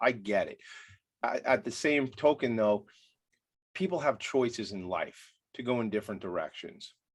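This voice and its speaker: In a very clean recording with a silent background, a man speaks at a medium pitch with an American accent. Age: 40s. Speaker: podcast host. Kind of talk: interview conversation. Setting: home attic studio. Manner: fast.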